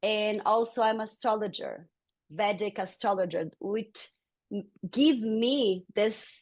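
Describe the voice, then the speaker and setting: At a very slow pace and in a Brazilian Portuguese accent, the speaker uses ordinary pitch variation against a quiet background. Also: woman. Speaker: yoga teacher. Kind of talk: interview.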